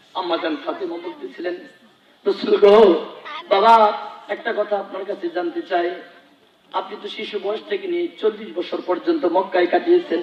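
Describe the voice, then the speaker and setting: Very wide pitch swings over noticeable background noise. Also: man, high pitch for a man. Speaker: Islamic preacher. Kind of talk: religious sermon.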